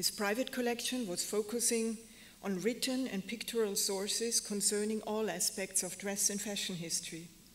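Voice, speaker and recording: A woman's medium-pitched voice with a German accent, fairly even intonation and a moderate pace. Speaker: museum curator. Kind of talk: lecture.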